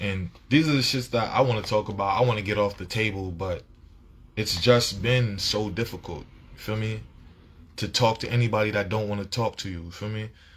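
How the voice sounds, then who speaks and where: Somewhat breathy, a man speaks at a fairly quick pace with fairly low pitch and ordinary pitch variation. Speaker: vlogger. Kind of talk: casual monologue. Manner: animated.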